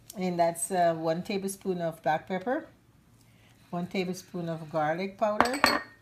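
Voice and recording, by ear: A woman speaks at a moderate pace, her pitch fairly low and her tone slightly mellow.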